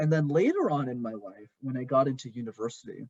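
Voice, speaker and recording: A man's medium-pitched voice with a Canadian accent, a dark, mellow tone and a somewhat breathy edge. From Montreal, Canada. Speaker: communication coach. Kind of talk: podcast interview.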